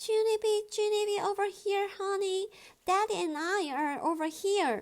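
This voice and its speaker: Squeaky and extremely high, a woman's put-on character voice carries a warm tone. She speaks at a moderate pace. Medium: read story. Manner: warm, tender.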